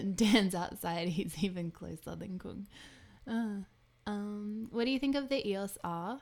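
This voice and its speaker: A woman with an Australian accent speaks fairly slowly at a medium pitch, with ordinary pitch variation. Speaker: photographer and video streamer; video streamer. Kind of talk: live stream chat and tutorial. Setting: live stream. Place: home room. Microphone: studio mic.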